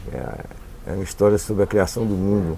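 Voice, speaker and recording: Speaking at a fairly quick pace, a man with a fairly low pitch is heard against noticeable background noise. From Paraíba, Brazil. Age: 60s. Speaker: writer and visual artist. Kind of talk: interview.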